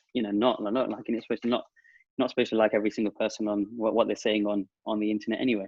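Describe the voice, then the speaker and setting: Delivering his words at a very fast pace, a man with an English Midlands accent speaks at fairly low pitch in a monotone, flat intonation. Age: 30s. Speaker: digital marketing entrepreneur. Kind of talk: podcast interview.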